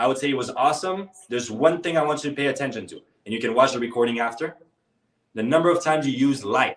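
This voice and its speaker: This man sounds energetic and animated. He talks at a fairly quick pace. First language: not English. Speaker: public speaking coach. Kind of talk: live online workshop coaching. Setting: live video call workshop. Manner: energetic, animated.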